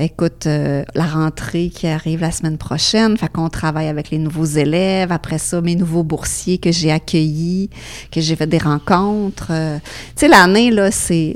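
Fairly low pitch from a woman, with fairly even intonation and a fairly slow pace. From Quebec, Beauce (Saint-Georges). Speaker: foundation fundraiser at a school. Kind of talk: interview.

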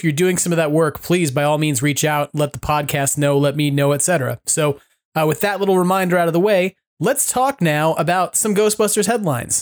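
Sounding dry and close with no echo in a very clean recording with a silent background, a man has an ordinary speaking voice with a fairly high pitch, ordinary pitch variation and a fairly quick pace. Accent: American. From New York. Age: 40s. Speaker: podcast host. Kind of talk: casual chat.

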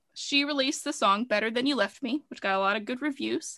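A woman speaks in a bright, sharp tone with ordinary pitch variation. The background is quiet. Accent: American. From US South, rural. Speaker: podcast co-host, English teacher. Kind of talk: casual chat.

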